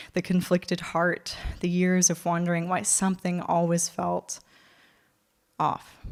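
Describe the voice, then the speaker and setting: A moderate pace in a Californian accent, on a very clean recording with a silent background. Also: woman. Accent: American, Californian. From California, USA. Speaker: spoken word poet and performer. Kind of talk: live spoken word poetry performance. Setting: theatre stage, live audience.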